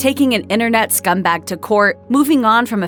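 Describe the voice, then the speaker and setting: Music plays behind a woman who talks at a moderate pace with a fairly high pitch and lively intonation. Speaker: voiceover narrator. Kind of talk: celebrity biography narration.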